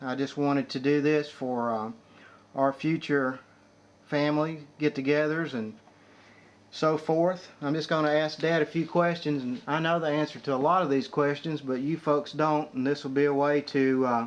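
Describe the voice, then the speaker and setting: An ordinary speaking voice, this man's sits fairly high and moves at a moderate pace with fairly even intonation. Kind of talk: interviewer, home recording.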